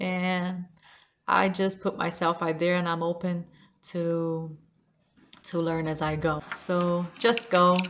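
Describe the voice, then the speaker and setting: Very slowly and with long, frequent pauses, a woman speaks in a fairly low, flat monotone with a non-native accent. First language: not English. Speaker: self-help vlogger. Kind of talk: unscripted personal talk to camera. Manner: halting.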